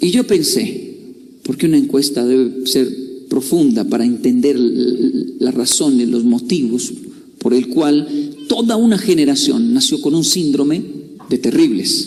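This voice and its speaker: Talking at a fairly slow pace with very even loudness, a man is heard through audible room echo and noticeable background noise. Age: 30s. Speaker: motivational speaker. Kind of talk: motivational talk.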